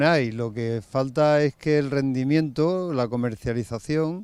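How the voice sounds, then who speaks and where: Using an ordinary speaking voice, a man talks at a medium pitch and a fairly slow pace with ordinary pitch variation. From Spain, Extremadura (Cáceres, Valle del Ambroz). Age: 50s. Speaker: farmer. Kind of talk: interview.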